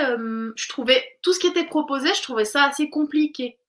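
A woman's raised, projected voice, high-pitched with a bright, sharp tone, lively intonation and a moderate pace, on a very clean recording with a silent background. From Switzerland. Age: 30s. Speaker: naturopath. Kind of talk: casual chat.

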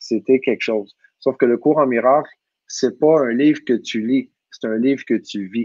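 In a dry, close sound with no echo, a man talks fairly slowly at a medium pitch with fairly even intonation. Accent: Quebec. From Quebec. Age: 40s. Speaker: personal growth teacher. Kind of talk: casual talk, live online talk. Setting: video call, live stream.

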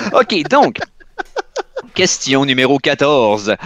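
Recorded with a dry, close sound and no echo, a man with a fairly high pitch speaks at a very slow pace. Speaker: podcast host. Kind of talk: game quiz.

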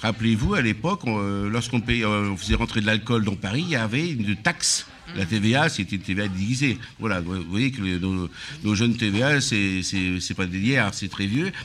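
A man's voice, with ordinary pitch variation, is heard over noticeable background noise. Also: fairly low pitch for a man, fairly slow pace. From Auvergne, Aveyron (France). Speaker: restaurant owner. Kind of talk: casual chat. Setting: live broadcast at his riverside venue.

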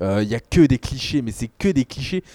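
A man's dark, mellow voice at a moderate pace, in a dry, close sound with no echo. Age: 20s. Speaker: film podcast guest. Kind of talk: casual chat. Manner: animated.

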